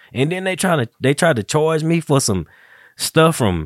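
An unremarkable speaking voice moves along at a moderate pace. No echo at all, just a dry, close sound. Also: man. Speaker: podcast host. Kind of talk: casual chat. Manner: relaxed, joking.

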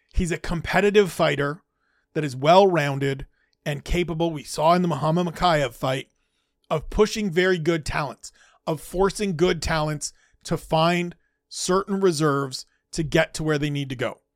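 Here is a man with a normal speaking voice, fairly high in pitch with ordinary pitch variation. He keeps a moderate pace on a very clean recording with a silent background. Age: 40s. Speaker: MMA podcast host and writer. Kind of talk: solo commentary podcast.

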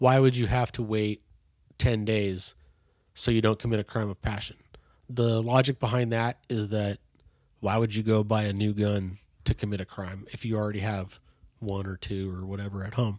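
On a very clean recording with a silent background, the speaker keeps a moderate pace with monotone, flat intonation and long, frequent pauses, the sound dry and close with no echo. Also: man, fairly low pitch for a man. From California, Bay Area. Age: 30s. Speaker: hunter safety educator. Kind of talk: casual interview.

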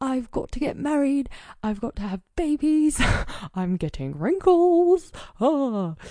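Speaking at a fairly slow pace, a female-sounding voice puts on a character voice with high pitch against a quiet background. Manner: frantic, anxious.

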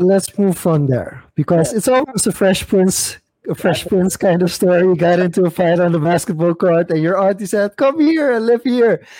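The speaker has a dark, mellow tone and lively intonation, moving at a moderate pace with hardly any pauses. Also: man, high pitch for a man. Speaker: podcast host. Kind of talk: casual chat. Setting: video call.

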